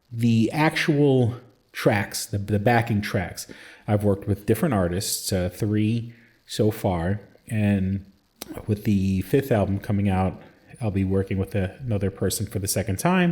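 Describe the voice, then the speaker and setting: Here a man speaks at a fairly slow pace, his fairly low voice somewhat breathy. His pitch variation is ordinary. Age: 40s. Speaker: podcast host and hobby metal musician. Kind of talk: casual solo podcast monologue. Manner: hesitant, many fillers and restarts.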